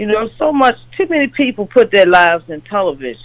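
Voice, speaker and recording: Using a normal speaking voice, a woman talks at a moderate pace with lively intonation. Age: 50s. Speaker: caller. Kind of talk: casual chat.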